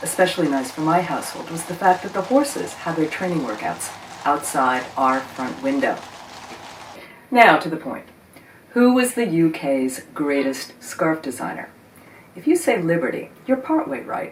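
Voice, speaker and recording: A woman with an American accent, fairly low pitch and very wide pitch swings, at a moderate pace amid noticeable background noise. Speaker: video host on vintage scarves. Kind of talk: scripted narration.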